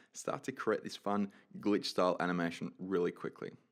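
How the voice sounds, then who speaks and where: A man speaks with an Australian accent. His tone is upbeat. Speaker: 3D animation tutorial creator. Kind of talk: software tutorial. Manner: casual, upbeat.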